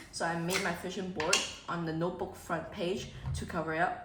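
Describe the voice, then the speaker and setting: Someone with a Cantonese accent talks at a fairly quick pace amid noticeable background noise and audible room echo. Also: woman. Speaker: vlogger. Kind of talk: vlog chat. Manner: casual, animated.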